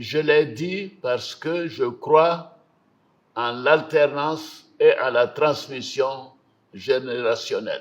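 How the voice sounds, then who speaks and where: The man's voice is fairly high-pitched. He talks at a very slow pace. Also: ordinary pitch variation. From Côte d'Ivoire. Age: 80s+. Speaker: head of state. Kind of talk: televised national address. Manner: formal, read.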